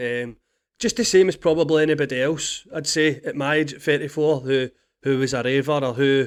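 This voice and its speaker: This voice has a Scottish accent and fairly even intonation. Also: man. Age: 30s. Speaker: podcast host. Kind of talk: personal monologue. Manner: halting.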